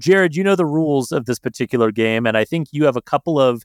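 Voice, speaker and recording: Recorded with a dry, close sound and no echo, a man speaks. His pitch is fairly high, with ordinary pitch variation. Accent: General American. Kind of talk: casual chat.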